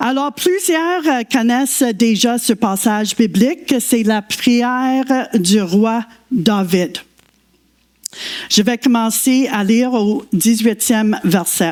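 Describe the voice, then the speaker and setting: A woman with a fairly high pitch drawls out her words at a very slow pace. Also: lively intonation. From Quebec. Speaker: guest preacher. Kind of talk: sermon. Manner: halting.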